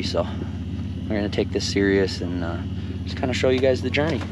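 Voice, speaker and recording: Loud background noise surrounds a man's voice. There is no echo, and the sound is dry. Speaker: angler vlogger. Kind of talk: casual vlog chat. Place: tent. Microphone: phone near.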